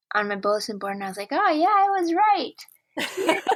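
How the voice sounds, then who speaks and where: A woman's bright, sharp tone at a moderate pace with ordinary pitch variation, on a very clean recording with a silent background. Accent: Minnesota. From northern Wisconsin, near Duluth. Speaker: comedian and clarinetist. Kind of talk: interview. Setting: call.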